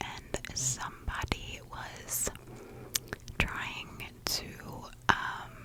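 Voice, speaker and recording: A woman whispers at a very slow pace, leaving long, frequent pauses. Noticeable background noise runs underneath. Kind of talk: whispered ASMR true crime narration. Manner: slow, whispered.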